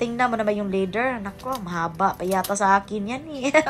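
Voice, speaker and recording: A woman with lively intonation at a moderate pace, with music in the background. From Cebu, Philippines. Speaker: vlogger. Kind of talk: casual vlog narration. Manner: loud; animated.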